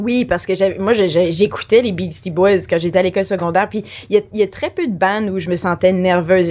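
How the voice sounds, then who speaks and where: A woman talks at a moderate pace, her medium pitch moving with ordinary variation over noticeable background noise. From Franco-Ontarian. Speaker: former music TV VJ. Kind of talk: casual chat.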